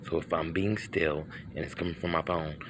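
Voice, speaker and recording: Someone talks at a moderate pace over noticeable background noise. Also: man. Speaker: video blogger filming night sky. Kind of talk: casual handheld video narration. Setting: outdoors at night in driveway. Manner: halting, self-interrupting; whispering.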